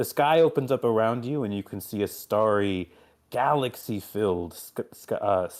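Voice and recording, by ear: The clip has a person reading aloud in a natural voice.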